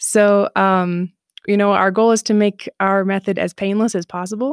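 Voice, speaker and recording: Recorded very cleanly against a silent background, with a dry, close sound and no echo, a woman with an Upper Midwest accent speaks at a medium pitch with fairly even intonation. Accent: Upper Midwest American. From Southeast Michigan. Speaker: online Hebrew teacher. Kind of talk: interview.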